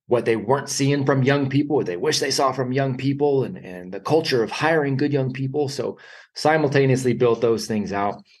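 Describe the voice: A man talks at a medium pitch and a fairly quick pace, with audible room echo. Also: slightly mellow tone.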